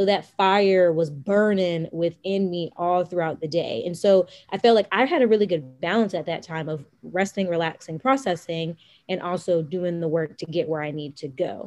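With an American accent, a woman talks at a moderate pace in a plain, everyday voice, her fairly low pitch showing ordinary pitch variation. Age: 20s. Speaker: life and financial coach. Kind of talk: casual chat.

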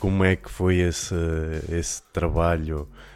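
The recording is very clean, with a silent background. A man speaks at a fairly slow pace. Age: 30s. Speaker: podcast host. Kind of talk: casual chat.

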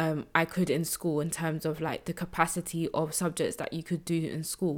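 A woman speaks at a low pitch in a very clean recording with a silent background.

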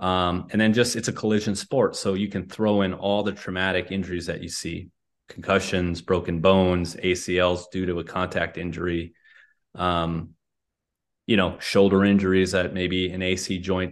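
Very deep and low, a man's voice holds a monotone, flat intonation. He speaks at a moderate pace against a quiet background. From North Dakota. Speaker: physical therapist. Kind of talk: interview.

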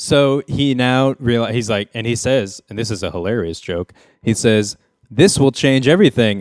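A man with an unremarkable speaking voice keeps a medium pitch, varying it in an ordinary way as he goes at a moderate pace. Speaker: podcast host. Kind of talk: comedic casual chat.

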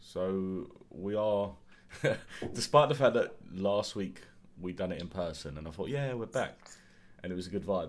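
A man with a very deep, low voice and an English accent speaks at a moderate pace, stopping often for long pauses. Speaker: podcast host. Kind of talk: casual chat. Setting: video call.

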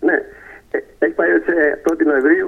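A man talks at a moderate pace. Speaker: poet and author. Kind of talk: radio interview. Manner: hesitant, filler-heavy.

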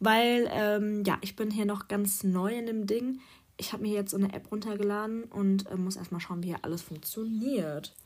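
Speaking at a moderate pace, a woman keeps her medium pitch fairly even. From Germany, small rural town. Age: 20s. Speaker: podcaster, student. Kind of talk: casual monologue. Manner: hesitant, many fillers.

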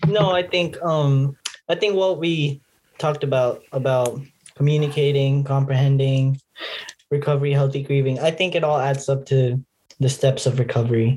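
A somewhat breathy man's voice, fairly high, with a dark, mellow tone, a moderate pace and very even loudness. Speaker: guest and first-time co-host.

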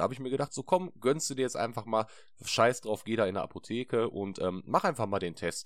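An ordinary speaking voice from a man, medium in pitch, with lively intonation at a fairly quick pace. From Ruhr area, Essen. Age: 20s. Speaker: podcast co-host. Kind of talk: casual chat. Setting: video call.

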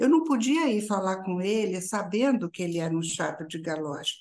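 Here is a female speaker. Her pitch lands in the middle range. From Brazil, interior of São Paulo state. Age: 60s. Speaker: strategic planner and university teacher. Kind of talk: interview.

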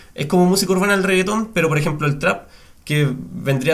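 Audible room echo follows a man talking at a fairly quick pace. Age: 20s. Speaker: podcast host. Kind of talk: scripted intro; casual chat.

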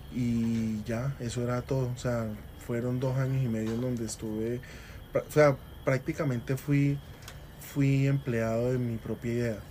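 Speaking fairly slowly, a man keeps to a flat, monotone intonation. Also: medium pitch for a man. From Colombia, Cali. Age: 20s. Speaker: restaurant entrepreneur. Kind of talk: interview.

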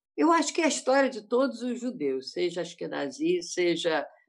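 In quiet surroundings, a woman's voice rises fairly high in pitch. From Rio de Janeiro state, Brazil. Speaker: panel guest, doctor. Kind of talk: panel discussion. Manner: halting.

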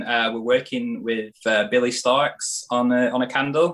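In a British accent, a man talks at a fairly slow pace. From UK. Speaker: candle maker and entrepreneur. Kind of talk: casual interview.

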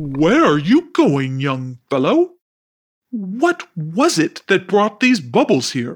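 Booming and at a middle pitch, a put-on character voice moves at a very slow pace with very wide pitch swings. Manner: jovial, amused.

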